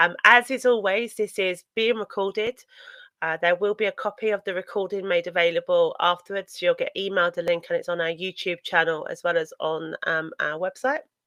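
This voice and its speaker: Speaking with a British accent at a fairly quick pace, the voice shows ordinary pitch variation. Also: woman, medium pitch for a woman. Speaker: data protection consultant, company co-founder. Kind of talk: webinar presentation. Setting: online webinar. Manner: hesitant, many fillers.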